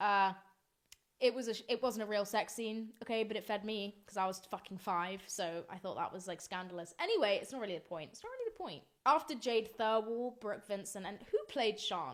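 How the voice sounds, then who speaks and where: A woman with a British accent, fairly high in pitch and fairly quick, with ordinary pitch variation and big swings in loudness. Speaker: podcast host. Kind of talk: casual solo podcast chat. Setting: office room at night. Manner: animated.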